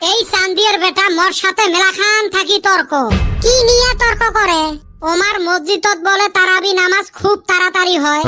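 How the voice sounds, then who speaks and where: Faint music plays in the background as a cartoonish character voice speaks at a moderate pace. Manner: sly, wheedling.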